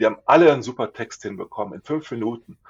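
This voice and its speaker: Talking at a fairly quick pace, a man with an unremarkable speaking voice keeps a medium pitch and fairly even intonation. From Lower Saxony, Germany. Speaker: communications consultant. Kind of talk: interview.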